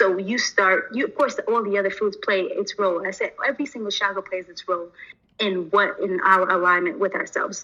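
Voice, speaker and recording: A woman speaks at a fairly quick pace in an unremarkable speaking voice, with medium pitch and fairly even intonation. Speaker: spiritual wellness teacher. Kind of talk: livestream lesson.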